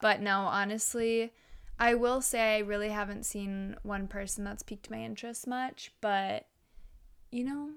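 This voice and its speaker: A woman's unremarkable speaking voice, fairly high-pitched, at a fairly slow pace with fairly even intonation, on a very clean recording with a silent background. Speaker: podcast co-host. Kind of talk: casual chat.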